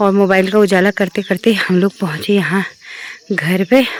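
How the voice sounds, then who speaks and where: Over noticeable background noise, a woman speaks at a medium pitch and a fairly slow pace with fairly even intonation. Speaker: travel and family vlogger. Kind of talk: casual vlog. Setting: outdoors on a rooftop.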